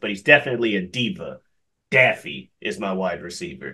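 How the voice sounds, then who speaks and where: Very wide pitch swings run through this voice against a quiet background. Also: man. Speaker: podcast co-host. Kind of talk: casual podcast banter.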